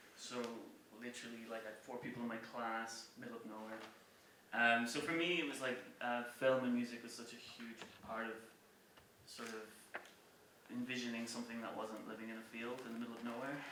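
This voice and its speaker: A man with a Cork accent in a flat monotone at a fairly quick pace, broken by long, frequent pauses, with audible room echo and noticeable background noise. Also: medium pitch for a man. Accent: Cork Irish. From Ireland, rural County Cork. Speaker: music publisher and former touring musician. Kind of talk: public talk. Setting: stage with audience. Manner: casual, with many fillers.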